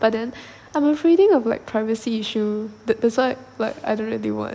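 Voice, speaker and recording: A woman with a Malaysian accent, fairly high in pitch, amid noticeable background noise. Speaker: podcast host. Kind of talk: solo podcast monologue. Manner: halting, many fillers and repetitions.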